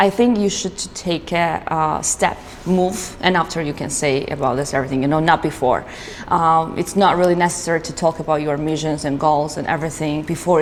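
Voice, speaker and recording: A woman with a Georgian accent and a very deep, low pitch, talking at a fairly quick pace over noticeable background noise. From Georgia (country). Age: 20s. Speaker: business owner. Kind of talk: interview. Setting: studio. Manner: halting, with many fillers.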